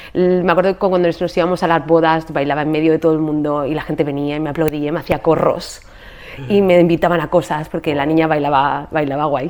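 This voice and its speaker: Speaking at a very fast pace, the woman has a very deep, low pitch. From Spain. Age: 40s. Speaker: podcast host and yoga teacher. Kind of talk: casual interview conversation about her life story. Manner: animated.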